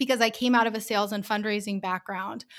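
This woman has an American accent and a fairly high pitch. Her tone is bright and sharp, with ordinary pitch variation. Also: very clean recording, silent background. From US Northeast, Rhode Island. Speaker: business owner. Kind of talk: interview.

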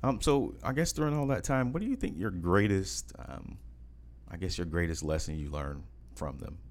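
A man's very deep, low voice in an American accent, with vocal fry, very wide pitch swings, and a moderate pace. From United States. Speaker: podcast host. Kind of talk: casual interview.

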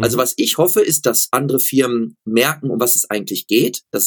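At a very fast pace, a man of medium pitch speaks, the sound dry and close with no echo. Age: 40s. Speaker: running shoe expert and company founder. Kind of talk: interview.

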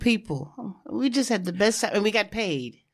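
With a New York accent, a woman speaks with lively intonation. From New York, Harlem. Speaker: former fashion model. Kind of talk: interview.

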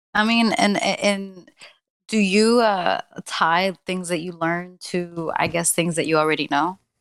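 Recorded very cleanly against a silent background, a woman speaks at a fairly slow pace with a medium pitch and fairly even intonation. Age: 20s. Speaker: podcast co-host. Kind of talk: casual chat. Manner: nervous, hesitant, fillers.

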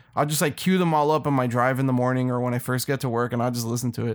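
A man with a medium pitch and an ordinary speaking voice talks at a fairly quick pace in a very clean recording with a silent background. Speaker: podcast host. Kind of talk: casual banter. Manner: casual, joking.

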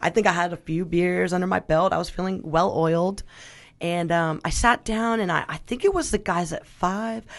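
A woman with an American accent speaks in a normal speaking voice at a fairly low pitch. Her intonation is fairly even, her pace moderate, and the background quiet. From Northern California, Sonoma County. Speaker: radio host, drummer and restaurant worker. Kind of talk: casual interview chat. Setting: radio studio.

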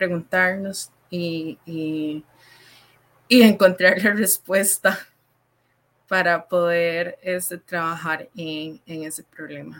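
The speech is very slow, with fairly even intonation. Its loudness swings widely. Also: woman. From Costa Rica, Limón province. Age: 20s. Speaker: student. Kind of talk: panel discussion.

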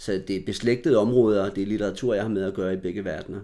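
A man speaks with a dark, mellow tone, a fairly low pitch and fairly even intonation. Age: 40s. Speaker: novelist. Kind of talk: interview conversation. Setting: apartment.

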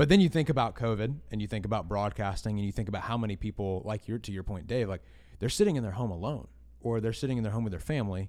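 In a very clean recording with a silent background, a man with a fairly low pitch speaks at a very fast pace in an energetic tone, with ordinary pitch variation. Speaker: podcast host and church production staff. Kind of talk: casual chat.

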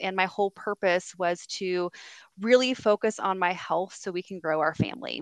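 With a West Coast US accent, a woman speaks at a medium pitch and a moderate pace with fairly even intonation, in a dry, close sound with no echo on a very clean recording with a silent background. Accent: General American (West Coast). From California, US (San Diego). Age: 40s. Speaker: youth services director and social media influencer. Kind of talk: casual interview chat.

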